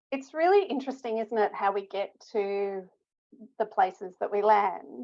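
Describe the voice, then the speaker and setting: Speaking at a fairly slow pace, a woman with an Australian accent uses lively intonation. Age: 60s. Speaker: stroke rehabilitation researcher. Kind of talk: interview.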